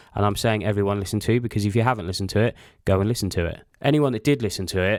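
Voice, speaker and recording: In a very clean recording with a silent background, a man speaks at a fairly low pitch with fairly even intonation. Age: 30s. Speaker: podcast host and apparel designer. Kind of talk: casual solo monologue. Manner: monotone.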